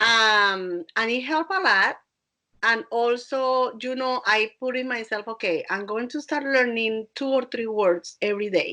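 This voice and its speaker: Against a quiet background, a woman with a Colombian accent talks at a fairly slow pace, her fairly high voice bright and sharp in tone, with ordinary pitch variation. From Colombia, Barranquilla. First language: Spanish. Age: 50s. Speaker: dance instructor and DJ. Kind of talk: podcast interview.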